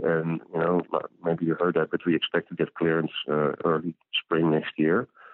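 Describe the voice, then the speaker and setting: A man with a Dutch accent and a very deep, low pitch, at a moderate pace. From Netherlands. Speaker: physician and company founder. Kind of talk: interview.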